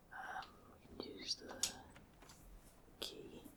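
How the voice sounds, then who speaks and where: Someone whispers in a relaxed tone. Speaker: gamer / ASMR content creator. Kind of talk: casual gameplay commentary. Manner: whispered, relaxed.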